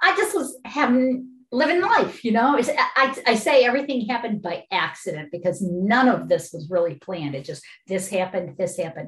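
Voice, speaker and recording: A woman talks at a fairly quick pace with a fairly high pitch. Her voice swings very widely in pitch. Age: 60s. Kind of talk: casual interview. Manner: animated, enthusiastic.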